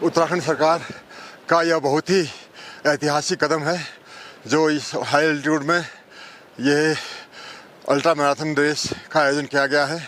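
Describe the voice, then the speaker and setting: There is noticeable background noise as a man with a fairly high pitch speaks. His intonation is monotone and flat, with long, frequent pauses. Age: 60s. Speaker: government adviser and runner. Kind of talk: interview.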